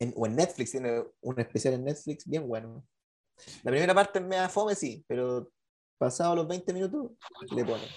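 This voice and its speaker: Using a Chilean accent, a man with a fairly high pitch talks at a moderate pace with lively intonation and long, frequent pauses. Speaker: podcast co-host. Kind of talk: casual chat.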